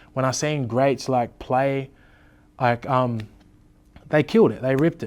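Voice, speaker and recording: A man with an Australian accent speaks at medium pitch with fairly even intonation in a very clean recording with a silent background. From Tweed Heads, New South Wales, Australia. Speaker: rapper. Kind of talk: interview. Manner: casual, many fillers.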